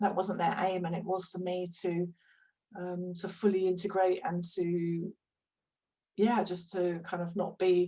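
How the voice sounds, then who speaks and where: The woman's voice has a dark, mellow tone. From London, England. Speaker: hypnotherapist. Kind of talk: interview conversation. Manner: hesitant, many fillers.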